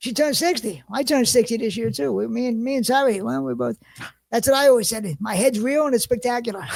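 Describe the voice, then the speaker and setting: With a Philadelphia accent, a man talks at a very fast pace in an extremely high pitch, his intonation lively. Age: 50s. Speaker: podcast host. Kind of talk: casual chat. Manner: halting.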